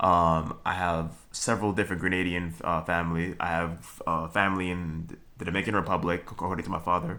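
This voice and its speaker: Barely pausing, a man with a Trinidadian accent talks fairly quickly in a very deep, low voice with a bright, sharp tone and monotone, flat intonation. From Brooklyn, New York. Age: 20s. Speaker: vlogger. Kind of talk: casual monologue. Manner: halting, many fillers and restarts.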